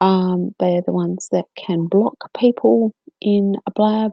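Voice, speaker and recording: Very slowly, a woman speaks at a medium pitch with ordinary pitch variation and a dark, mellow tone, in a dry, close sound with no echo. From South Australia. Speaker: co-host of live video chat. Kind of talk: live stream Q&A. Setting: live video chat room. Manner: hesitant, many fillers.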